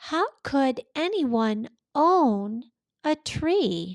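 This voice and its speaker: In a put-on character voice, a female-sounding speaker talks at a high pitch with very wide pitch swings. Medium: read story.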